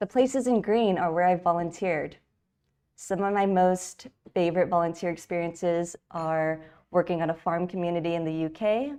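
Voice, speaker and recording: A woman's dark, mellow voice with an American accent, fairly low in pitch, at a moderate pace against a quiet background. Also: ordinary pitch variation. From California, US. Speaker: designer and conference speaker. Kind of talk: conference talk. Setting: virtual event.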